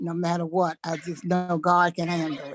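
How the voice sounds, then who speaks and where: A woman with an American accent speaks at a moderate pace in a fairly low voice. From Washington DC. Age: 70s. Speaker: class participant. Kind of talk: casual group sharing.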